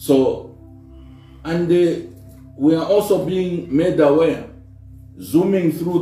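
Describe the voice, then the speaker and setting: Speaking very slowly in a fairly high pitch, a man is heard with audible room echo and faint music in the background. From Zambia. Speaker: politician, party spokesperson. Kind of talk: press briefing statement. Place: office.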